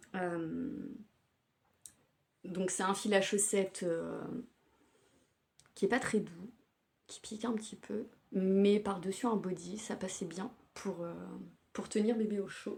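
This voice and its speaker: This somewhat breathy voice moves at a very slow pace with long, frequent pauses and fairly even intonation. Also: woman, medium pitch for a woman. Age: 30s. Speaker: knitting podcaster. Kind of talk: casual show-and-tell podcast. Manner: hesitant with frequent fillers.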